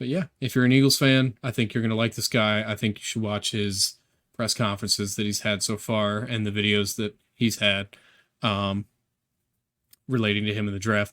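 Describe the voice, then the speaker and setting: A man's fairly low-pitched, ordinary speaking voice at a moderate pace, on a very clean recording with a silent background. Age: 30s. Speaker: sports podcast host. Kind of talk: casual sports analysis monologue. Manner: casual, filler-heavy.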